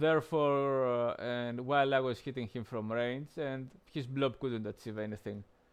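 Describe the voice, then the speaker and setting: At a moderate pace, a man with a non-native accent speaks at a medium pitch with fairly even intonation. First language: not English. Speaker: game streamer. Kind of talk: gameplay commentary. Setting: live stream. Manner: halting, many fillers.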